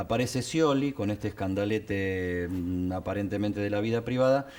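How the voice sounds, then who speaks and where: With an Argentine accent, a man speaks at a moderate pace. His pitch is fairly low. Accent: Argentine Spanish (Rioplatense). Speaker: TV political talk show host and journalist. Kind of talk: TV political discussion.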